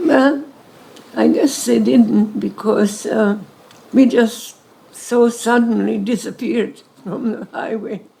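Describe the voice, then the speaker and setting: A woman talks at a very slow pace. She has a Hungarian accent. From Hungary. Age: 90s. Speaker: Holocaust survivor. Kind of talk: interview Q&A with audience.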